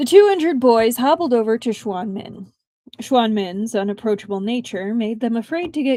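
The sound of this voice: With lively intonation, an unforced reading voice carries over a quiet background.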